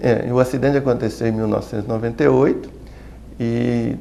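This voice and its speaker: Audible echo from the room surrounds this recording. The man speaks at a moderate speed. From Brazil, Minas Gerais (Belo Horizonte). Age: 60s. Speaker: pediatrician. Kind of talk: interview. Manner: halting.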